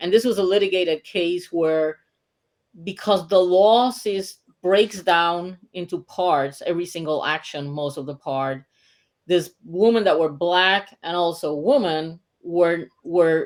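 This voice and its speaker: A woman with a Puerto Rican accent speaks at a fairly slow pace in a fairly low pitch with ordinary pitch variation, on a very clean recording with a silent background. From Puerto Rico. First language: Spanish. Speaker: mediator and author. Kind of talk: interview.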